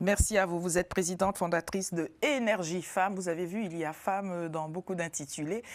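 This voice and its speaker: On a very clean recording with a silent background, a woman with a normal speaking voice talks at a fairly quick pace with hardly any pauses, medium pitch and fairly even intonation. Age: 50s. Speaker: talk show host. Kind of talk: TV panel discussion. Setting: TV studio.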